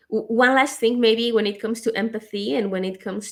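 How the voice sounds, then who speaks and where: Ordinary pitch variation from a woman with a non-native accent. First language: not English. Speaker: podcast host. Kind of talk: casual interview chat.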